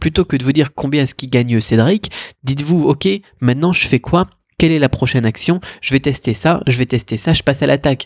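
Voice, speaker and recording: In a dry, close sound with no echo, a man talks at a fairly quick pace with a fairly high pitch and ordinary pitch variation. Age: 30s. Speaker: e-commerce podcaster. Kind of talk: solo podcast monologue. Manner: casual, hesitant with many fillers.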